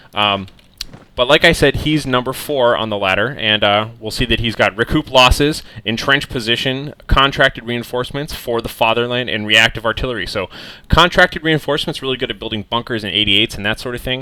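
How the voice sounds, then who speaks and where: A man's medium-pitched voice with a bright, sharp tone, an American accent, ordinary pitch variation and a fairly quick pace. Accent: American, says he mispronounces German words. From United States. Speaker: video game commentator. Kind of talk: game replay commentary. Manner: casual, filler-heavy.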